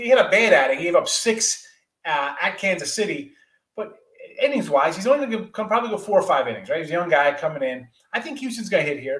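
A man's voice with audible room echo. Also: quiet background. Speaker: guest. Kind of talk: commentary. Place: home room. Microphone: video call.

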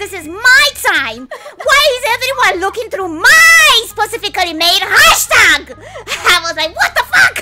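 With noticeable background noise behind her, a woman uses a raised, projected voice with an excited tone, an extremely high pitch and very wide pitch swings at a fairly slow pace. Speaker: vtuber. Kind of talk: casual live stream talk. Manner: excited, loud. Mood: playful, amused, flustered. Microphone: studio mic.

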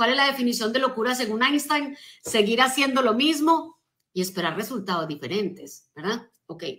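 A woman's high-pitched voice, bright and sharp in tone, moves at a moderate pace with lively intonation against a quiet background. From Colombia. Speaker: motivational speaker and business coach; motivational speaker, business coach. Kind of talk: motivational talk on a live stream. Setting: social media live stream. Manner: animated. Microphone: phone near.

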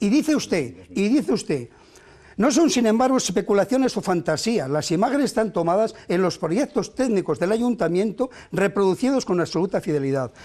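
Against a quiet background, a man with a high pitch and a dark, mellow tone makes very wide pitch swings. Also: moderate pace. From not from the town, from elsewhere in Spain. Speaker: mayoral candidate; candidate. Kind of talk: heated debate. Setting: TV studio. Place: studio. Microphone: lapel.

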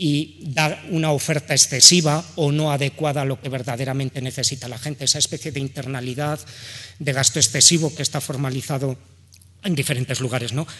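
This man has an ordinary speaking voice at a fairly high pitch. He speaks at a moderate pace with fairly even intonation. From Aragon, Spain. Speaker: economist and researcher; speaker. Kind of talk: panel talk. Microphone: podium.

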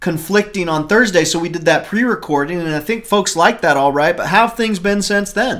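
A man's high-pitched voice with ordinary pitch variation against a quiet background. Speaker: show co-host. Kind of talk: casual chat. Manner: animated. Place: home room. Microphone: webcam.

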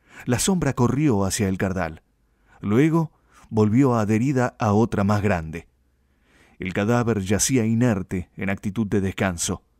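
With an unremarkable speaking voice, a man speaks at a fairly low pitch and a fairly slow pace with ordinary pitch variation, in a dry, close sound with no echo on a very clean recording with a silent background. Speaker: audiobook narrator. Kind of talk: dramatic literary narration of a violent gaucho knife-fight tale. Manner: slow, suspenseful build toward a gory climax; voices rural gaucho dialogue in rustic speech.

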